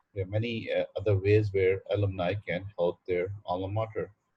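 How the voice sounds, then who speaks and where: A man talks at a moderate pace with a fairly low pitch. His voice is somewhat breathy, and his intonation stays fairly even. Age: 60s. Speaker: university administrator. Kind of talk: welcome speech on video call. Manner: halting, many fillers.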